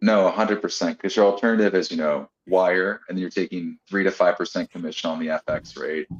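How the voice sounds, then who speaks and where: With an American accent, a man speaks in a very deep, low voice at a fairly quick pace, with hardly any pauses and fairly even intonation, in a dry, close sound with no echo. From United States. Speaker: tax firm professional. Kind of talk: webinar discussion.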